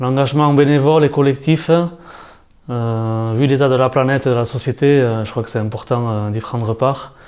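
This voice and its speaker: A man is speaking. His intonation is fairly even. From French Basque Country. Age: 50s. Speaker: job seeker, former translator and journalist. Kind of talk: interview self-presentation. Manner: hesitant, many fillers.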